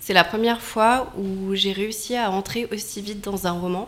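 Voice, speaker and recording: Against noticeable background noise, a woman speaks in a medium pitch with monotone, flat intonation. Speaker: author's friend and event organizer. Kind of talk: radio interview.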